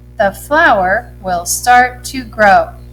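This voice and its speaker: Very slow speech from a woman, music playing behind her. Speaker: first grade teacher. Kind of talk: tutorial. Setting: recorded lesson video. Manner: slow spelling out letters.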